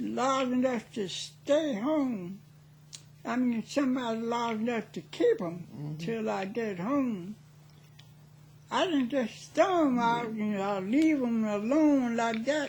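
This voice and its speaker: Her voice is fairly high, and she is a woman speaking at a very slow pace. Her intonation is lively. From South Carolina. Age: 80s+. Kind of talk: interview answer.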